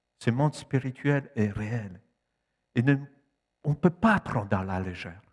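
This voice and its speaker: A man with a medium pitch talks at a fairly slow pace with lively intonation and long, frequent pauses, in a dry, close sound with no echo. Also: very clean recording, silent background. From Poland. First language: Polish (speaking French). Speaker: preacher. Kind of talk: sermon. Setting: church.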